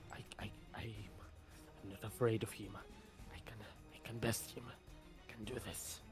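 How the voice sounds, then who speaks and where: A strained, whispering put-on character voice at a moderate pace, with music in the background. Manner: struggling, strained.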